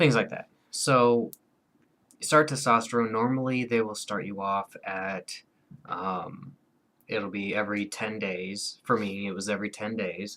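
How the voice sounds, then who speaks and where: A man talks at a fairly slow pace with ordinary pitch variation. His tone is bright and sharp. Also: fairly low pitch for a man. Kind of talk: casual vlog monologue. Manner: hesitant, many fillers.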